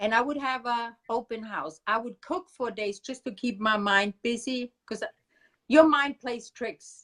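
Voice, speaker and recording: Recorded very cleanly against a silent background with a dry, close sound and no echo, a woman speaks at a moderate pace with a German accent, a fairly high pitch and ordinary pitch variation. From Germany. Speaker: grieving mother and activist. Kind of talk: interview. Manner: loud.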